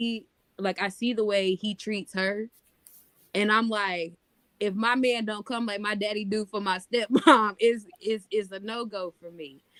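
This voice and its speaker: A woman's fairly high voice, an ordinary speaking voice, with an American accent, fairly slow and fairly even in intonation, big swings in loudness, and a dry, close sound with no echo. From North Carolina, US South. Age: 30s. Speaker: podcast co-host. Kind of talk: casual chat.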